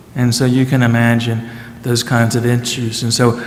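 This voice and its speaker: A man with an American accent at a moderate pace, with audible room echo and noticeable background noise. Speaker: pastor. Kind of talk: speaker introduction. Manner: hesitant, many fillers.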